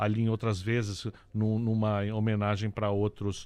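A man's fairly low voice at a fairly slow pace. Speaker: radio co-host. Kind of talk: casual chat. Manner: halting.

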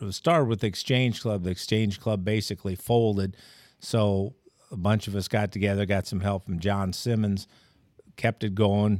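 Here is a man with a normal speaking voice, fairly low in pitch, at a moderate pace with fairly even intonation. The recording is very clean with a silent background. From Troy, Illinois (US Midwest). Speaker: retired sports journalist. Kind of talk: casual interview.

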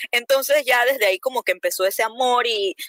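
Dry, close sound with no echo carries an ordinary speaking voice at a fairly quick pace with ordinary pitch variation. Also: woman. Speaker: cosplayer and event host. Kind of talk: casual chat.

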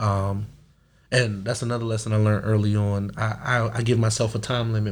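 A man's somewhat breathy, medium-pitched voice with an American accent, fairly quick and monotone, with audible room echo. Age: 30s. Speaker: security company owner. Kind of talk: casual interview. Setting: studio. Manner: halting.

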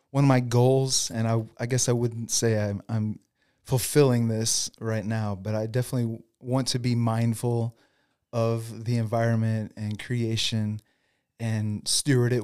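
A man's medium-pitched voice, dark and mellow, in a flat monotone at a fairly slow pace, on a very clean recording with a silent background. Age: 40s. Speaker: lawn care business owner, former pastor. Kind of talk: interview.

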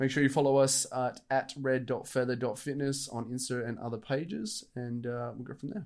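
This man has an Australian accent and a medium pitch, talking at a moderate pace with hardly any pauses. His intonation is fairly even, and the recording is very clean with a silent background. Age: 20s. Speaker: fitness podcast co-host. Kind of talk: casual chat.

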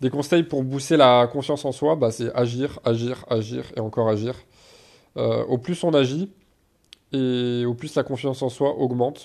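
A man with a normal speaking voice, medium pitch, fairly even intonation and a fairly slow pace, on a very clean recording with a silent background. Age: 20s. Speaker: fitness and self-development podcaster. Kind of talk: solo Q&A podcast. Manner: casual.

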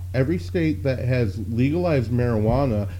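Music plays in the background while a man speaks. His pitch is fairly low, with ordinary variation. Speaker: podcast host. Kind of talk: casual banter. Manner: joking, self-deprecating.

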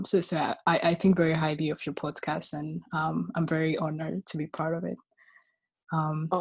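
Her pitch very deep and low, a woman talks in a flat monotone with vocal fry and big swings in loudness. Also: moderate pace. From Rwanda. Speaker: recent philosophy graduate. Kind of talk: interview. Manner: halting, many repetitions.

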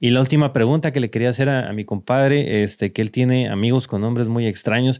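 Speaking at a very fast pace in a medium pitch, a man is heard in a very clean recording with a silent background. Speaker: tech podcast host. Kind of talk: casual chat.

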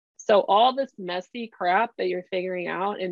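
Moderate speed, medium pitch and ordinary pitch variation in a woman's plain, everyday voice. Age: 40s. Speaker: career strategy coach. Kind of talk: casual chat.

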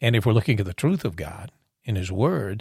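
A man speaks at a moderate pace with fairly low pitch, somewhat breathy, and lively intonation. The recording is very clean, with a silent background. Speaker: podcast guest and intro voice. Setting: studio.

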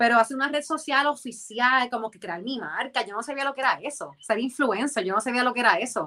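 Her high-pitched woman's voice has a bright, sharp tone, a fairly quick pace with hardly any pauses, big swings in loudness, and ordinary pitch variation. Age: 30s. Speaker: influencer and former dancer and model. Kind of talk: interview.

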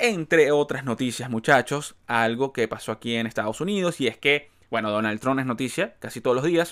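A man talks in an animated tone at a moderate pace with ordinary pitch variation. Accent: Venezuelan. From Venezuela. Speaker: podcast host. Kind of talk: casual chat.

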